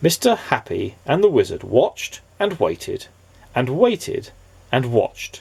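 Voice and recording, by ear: The clip features someone reading aloud in a natural voice.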